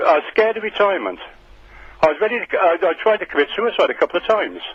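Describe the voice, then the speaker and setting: A man with a British accent talks at a very fast pace. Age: 70s. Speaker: radio phone-in caller. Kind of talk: phone-in call. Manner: halting.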